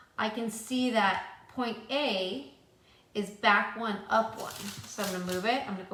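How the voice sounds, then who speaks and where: A woman speaks at medium pitch and a moderate pace with ordinary pitch variation. Noticeable background noise and audible room echo surround her voice. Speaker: math teacher. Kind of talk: tutorial. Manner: casual.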